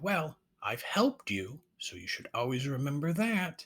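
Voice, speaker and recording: A man puts on a character voice, pitched fairly high, and keeps a moderate pace. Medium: read story.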